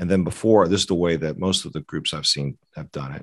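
Quiet surroundings behind a man with an American accent. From US South, Atlanta, Georgia. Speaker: orthopedic surgeon. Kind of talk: interview.

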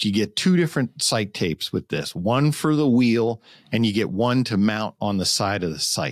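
A man uses a normal speaking voice at a moderate pace with ordinary pitch variation. The sound is dry and close with no echo, in a very clean recording with a silent background. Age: 50s. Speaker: bow reviewer for an archery retailer. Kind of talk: casual chat.

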